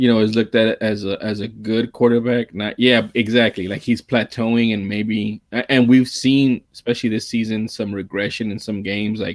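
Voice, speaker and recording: With monotone, flat intonation and hardly any pauses, a man of medium pitch speaks in a dry, close sound with no echo. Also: moderate pace. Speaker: sports podcast host. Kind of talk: casual chat.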